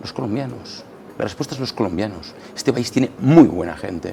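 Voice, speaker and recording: Against noticeable background noise, a man speaks fairly quickly with lively intonation. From Catalonia, Spain. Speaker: politician. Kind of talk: radio interview. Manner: halting, many repetitions.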